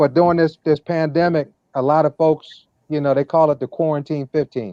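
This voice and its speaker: A man with a plain, everyday voice and a fairly high pitch speaks with fairly even intonation, and the sound is dry and close with no echo. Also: fairly quick pace. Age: 50s. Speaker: wellness product promoter. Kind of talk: interview talk. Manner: repetitive, with frequent fillers.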